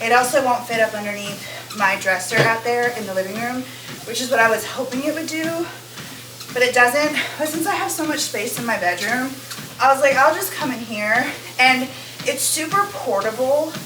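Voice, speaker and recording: A woman talks loudly at a moderate pace, her pitch high. The recording has audible room echo and noticeable background noise. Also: lively intonation. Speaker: lifestyle vlogger. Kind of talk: casual vlog talk. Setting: outdoors then indoors on treadmill.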